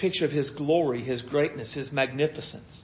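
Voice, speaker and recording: A man's voice comes across fairly high-pitched and somewhat breathy. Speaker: pastor. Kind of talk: sermon. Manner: stutters over words at times.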